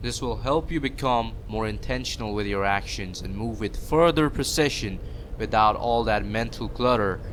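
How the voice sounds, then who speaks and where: The man keeps a moderate pace as noticeable background noise runs beneath him. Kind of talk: self-improvement talk to camera. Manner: stuttering, awkward pauses.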